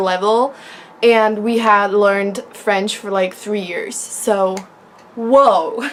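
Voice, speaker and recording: Speaking at a very slow pace, a woman with a Czech accent uses a fairly high pitch and fairly even intonation. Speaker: vlogger. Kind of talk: casual vlog talk.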